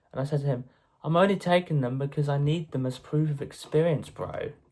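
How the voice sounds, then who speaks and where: A man with an English accent at a moderate pace. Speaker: YouTuber. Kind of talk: casual monologue vlog. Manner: halting.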